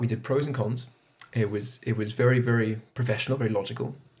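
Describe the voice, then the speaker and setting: This man speaks at a fairly quick pace in a monotone, flat way. His voice sits at a medium pitch and is somewhat breathy. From Zimbabwe and Zambia. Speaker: podcast guest. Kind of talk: casual interview chat.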